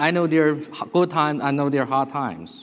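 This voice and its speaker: This man speaks with a Chinese accent. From China. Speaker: business executive. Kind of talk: conference presentation. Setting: stage with audience.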